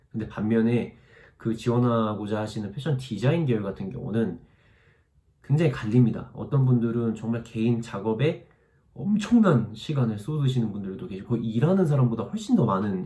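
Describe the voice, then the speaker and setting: In audible room echo, a somewhat breathy man with a dark, mellow tone talks at a fairly quick pace at a medium pitch with ordinary pitch variation. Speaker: YouTuber, fashion student abroad. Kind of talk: Q&A vlog answering viewer comments. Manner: fast; casual, conversational.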